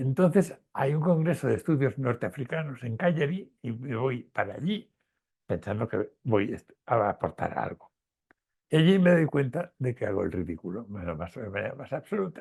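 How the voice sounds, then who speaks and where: Vocal fry runs through a man's medium-pitched voice. He keeps a moderate pace while his pitch swings very widely. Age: 80s+. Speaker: retired professor and historian of science. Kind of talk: interview conversation. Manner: halting, with fillers and repetitions.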